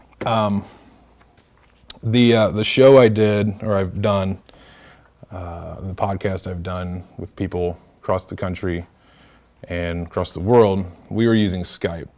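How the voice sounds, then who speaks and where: Over a quiet background, a man with a fairly low pitch speaks at a fairly slow pace with fairly even intonation, long, frequent pauses and big swings in loudness. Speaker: workshop presenter and podcaster; presenter, podcaster. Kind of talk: workshop tutorial. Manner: casual, filler-heavy. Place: meeting room.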